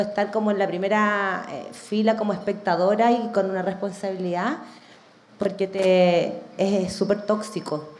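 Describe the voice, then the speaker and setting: The speaker talks at a fairly slow pace in a Chilean accent, with fairly even intonation. Audible room echo and noticeable background noise surround the voice. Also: woman. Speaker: media director. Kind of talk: live podcast discussion. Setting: stage with audience.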